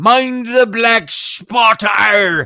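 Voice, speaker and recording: A man shouts in a put-on character voice. His pitch is extremely high for a man. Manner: menacing, gravelly.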